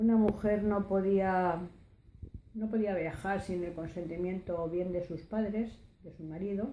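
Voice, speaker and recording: Audible room echo surrounds a woman's dark, mellow tone as she speaks at a fairly slow pace with fairly even intonation. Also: medium pitch for a woman, big swings in loudness. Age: 60s. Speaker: oral history interviewee. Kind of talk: testimony. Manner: halting, many hesitations.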